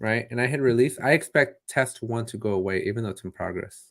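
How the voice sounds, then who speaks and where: A man talks at a fairly quick clip in an animated tone, his pitch medium with ordinary variation. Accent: non-native. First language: not English. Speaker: tech tutorial host. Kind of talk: live stream Q&A. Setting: live stream. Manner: casual, animated.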